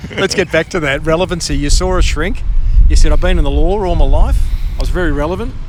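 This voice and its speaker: Over noticeable background noise, a man with an Australian accent talks at a very fast pace. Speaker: podcast host. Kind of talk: street interview. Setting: outdoors.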